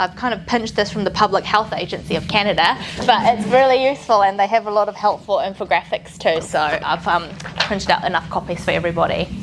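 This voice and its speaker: Amid noticeable background noise, a woman with a New Zealand accent talks very fast at a medium pitch with ordinary pitch variation. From New Zealand, Canterbury (born in Taiwan). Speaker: physiotherapist. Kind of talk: training presentation. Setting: room with live audience. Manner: fast when excited.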